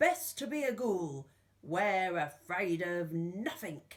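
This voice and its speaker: A female-sounding, put-on character voice speaks at a fairly slow pace with a medium pitch for a woman. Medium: read story. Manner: proud.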